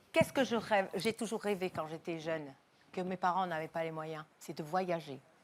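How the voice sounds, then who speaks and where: A woman with an unremarkable speaking voice talks at a moderate pace and fairly low pitch, with ordinary pitch variation. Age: 60s. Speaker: TV talk show guest. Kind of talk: TV talk show interview. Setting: TV studio with audience.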